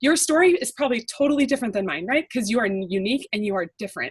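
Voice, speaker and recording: With an American accent, a woman is speaking. Her pitch moves through very wide swings. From California, Bay Area. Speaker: life coach. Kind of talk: motivational webinar talk. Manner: fast.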